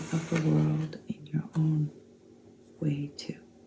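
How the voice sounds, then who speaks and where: Amid noticeable background noise, a woman talks very slowly with a very deep, low pitch. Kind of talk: oracle card reading. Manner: slow, calm.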